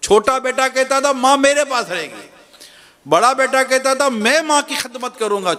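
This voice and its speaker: A man talks in a raised, projected voice with lively intonation. Noticeable background noise can be heard. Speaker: Islamic preacher giving a sermon. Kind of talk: religious sermon (bayan) telling a story.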